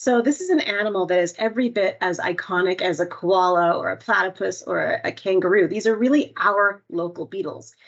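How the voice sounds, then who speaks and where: A woman with a Canadian accent talks at a fairly quick pace with hardly any pauses, using a normal speaking voice. Her pitch sits in the medium range with ordinary pitch variation. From Canada. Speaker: entomologist. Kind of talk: webinar presentation.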